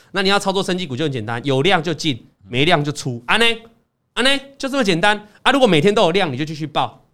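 Speaking very fast, a man uses a high pitch and very wide pitch swings. His tone is animated. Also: very clean recording, silent background. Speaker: investing podcast host. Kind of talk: casual chat about stock trading.

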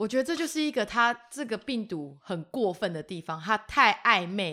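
Moving at a moderate pace, a woman's fairly high voice has a bright, sharp tone, very wide pitch swings, and big swings in loudness. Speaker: podcast co-host. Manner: loud, energetic, cheerful.

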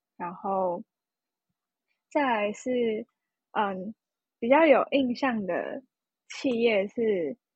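A woman's fairly high voice with lively intonation. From Taiwan, Hsinchu. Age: 20s. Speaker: university student. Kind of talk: casual interview about travel.

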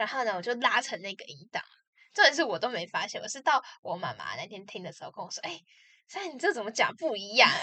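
A woman's high pitch, very wide pitch swings, very fast pace, big swings in loudness, and a bright, sharp tone. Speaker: podcast co-host. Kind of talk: casual chat.

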